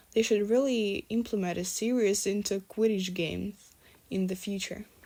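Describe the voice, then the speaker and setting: With a non-native accent, the speaker uses a dark, mellow tone, a moderate pace and fairly even intonation. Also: woman, medium pitch for a woman. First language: not English. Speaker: fanfiction reader. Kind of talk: reading aloud. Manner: halting.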